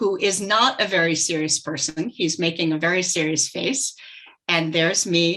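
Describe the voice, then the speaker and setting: Fairly low in pitch with ordinary variation, a woman's bright, sharp tone comes at a fairly slow pace. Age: 60s. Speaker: heart defect survivor speaker. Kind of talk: presentation.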